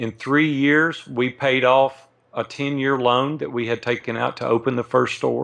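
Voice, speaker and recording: Speaking in a Southern US accent, a man talks at a moderate pace and medium pitch with fairly even intonation against a quiet background. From US South, Nashville, Tennessee. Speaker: entrepreneur. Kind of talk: interview.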